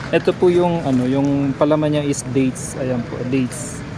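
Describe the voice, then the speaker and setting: There is noticeable noise in the background. The delivery is fairly slow. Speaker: vlogger shopper. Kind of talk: casual vlog walkthrough, pitching sale prices like a street seller. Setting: indoors in a supermarket in Jeddah. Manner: calling out prices with repeated 'super mura' hard-sell emphasis.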